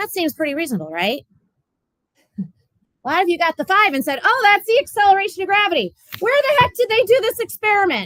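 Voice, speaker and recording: Dry with no echo, a woman's extremely high voice races at a very fast pace with very wide pitch swings and long, frequent pauses. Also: quiet background. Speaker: physics teacher. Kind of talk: classroom lecture. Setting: classroom.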